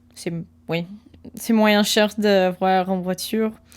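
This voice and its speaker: A woman talks in a very clean recording against a silent background. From USA. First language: English (speaking French). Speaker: ASMR creator. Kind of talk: casual storytelling. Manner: halting, many restarts; soft-spoken.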